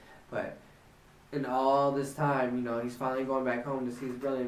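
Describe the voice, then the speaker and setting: Amid audible room echo, a man with a medium pitch talks at a fairly quick pace in a monotone, flat intonation. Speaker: Bible reading vlogger. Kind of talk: casual chat. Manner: halting; casual.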